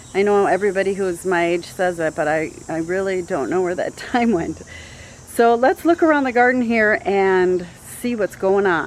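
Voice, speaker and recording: An unremarkable speaking voice from a woman, medium in pitch, lively in intonation, at a moderate pace with hardly any pauses. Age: 50s. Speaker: gardening YouTuber. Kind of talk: garden tour vlog. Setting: outdoors in garden. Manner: casual, many filler words.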